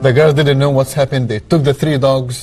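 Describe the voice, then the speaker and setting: A man with an Egyptian accent speaks at medium pitch. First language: Arabic. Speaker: human rights activist. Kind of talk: testimony interview answer.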